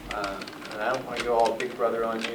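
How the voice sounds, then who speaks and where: Noticeable background noise and audible room echo accompany a man talking at a fairly quick pace. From US South (northeast Mississippi). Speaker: retail development consultant. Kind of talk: presentation to audience.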